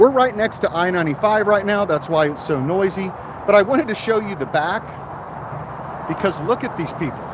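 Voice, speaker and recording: Over noticeable background noise, a man with an American accent speaks at a high pitch with lively intonation. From mixed US, last lived in Texas. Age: 50s. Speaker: car salesman. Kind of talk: livestream chat. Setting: outdoors at car dealership. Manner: casual, chatty.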